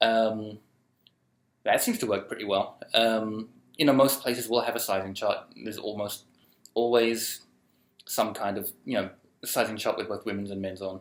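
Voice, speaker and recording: Speaking quietly in a British accent, a man keeps a medium pitch and a moderate pace broken by long, frequent pauses. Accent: non-American, British. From UK. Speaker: vlogger. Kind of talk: casual vlog, answering viewer questions. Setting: recording alone with photo booth camera. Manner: hesitant, many ums.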